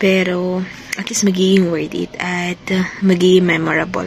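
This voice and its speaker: Soft-spoken, a woman talks at a moderate pace and medium pitch amid noticeable background noise. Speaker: vlogger. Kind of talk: casual vlog talk. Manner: speaking softly; chatty.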